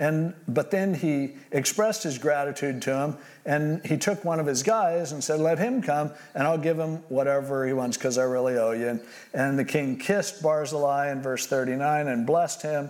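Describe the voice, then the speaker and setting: The pace is moderate, with ordinary pitch variation. It is a normal speaking voice. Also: man. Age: 60s. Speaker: pastor. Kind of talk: sermon.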